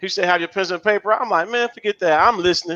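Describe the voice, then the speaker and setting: A high-pitched man speaks in a bright, sharp tone, recorded with a dry, close sound and no echo. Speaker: live show co-host. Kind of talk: casual live-stream chat. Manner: fast.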